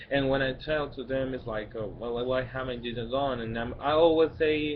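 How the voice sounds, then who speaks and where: With a Spanish accent, a man speaks at a moderate pace and medium pitch, his intonation fairly even, with audible room echo around him. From Mexico, Guadalajara. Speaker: vlogger. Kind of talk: personal vlog monologue. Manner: halting, many fillers and restarts.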